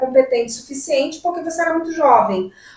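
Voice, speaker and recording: A woman talks at a fairly quick pace with ordinary pitch variation. Noticeable background noise runs beneath her. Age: 50s. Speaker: human resources consultant. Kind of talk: podcast interview.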